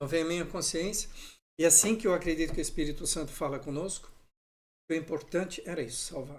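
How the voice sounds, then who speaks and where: A man speaks very fast at a high pitch, leaving long, frequent pauses. Room echo is audible. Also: ordinary pitch variation. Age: 60s. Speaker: pastor. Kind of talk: sermon. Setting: livestream.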